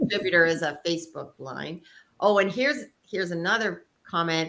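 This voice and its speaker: This woman has a plain, everyday voice, fairly low in pitch, moving at a fairly quick pace with lively intonation. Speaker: interview host. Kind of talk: casual interview talk.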